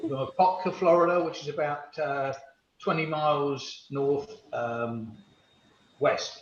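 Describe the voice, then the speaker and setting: Speaking very slowly with an English accent, the voice shows ordinary pitch variation and carries an audible room echo. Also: man, fairly high pitch for a man. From England, London and Essex. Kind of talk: casual chat. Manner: halting.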